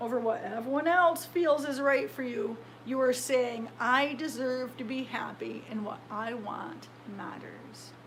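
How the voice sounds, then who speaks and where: Noticeable background noise sits under the voice. Its pitch moves in an ordinary way. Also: woman. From United States. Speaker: metal sculptor and author. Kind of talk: audiobook read by the author.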